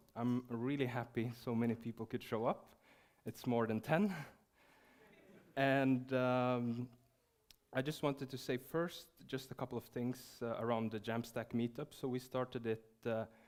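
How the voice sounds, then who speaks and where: The delivery runs at a fairly slow pace with fairly even intonation. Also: man, medium pitch for a man. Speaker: meetup organizer. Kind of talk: event welcome speech.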